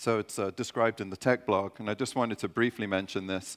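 In a plain, everyday voice, a man talks at a fairly low pitch with fairly even intonation against a quiet background. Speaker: conference presenter. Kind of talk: technical conference talk. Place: stage.

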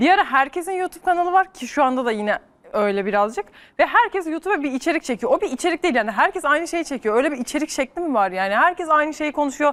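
A woman talks at a very fast pace with a high pitch. Her pitch swings very widely. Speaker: YouTube content creator. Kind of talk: casual chat. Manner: laughs often.

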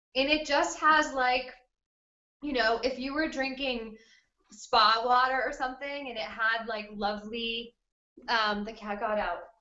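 A woman's high-pitched voice at a fairly slow pace, ordinary pitch variation, and audible room echo. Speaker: webinar host. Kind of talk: webinar tutorial. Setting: video call from a friend's kitchen. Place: home room. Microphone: delayed online connection; webcam.

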